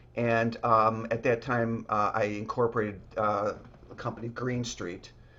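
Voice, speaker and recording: In a slight Chicago accent, a man speaks fairly slowly with a bright, sharp tone and flat, monotone intonation against a quiet background. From US Midwest, Chicago. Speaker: real estate developer. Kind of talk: podcast interview. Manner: halting, many fillers.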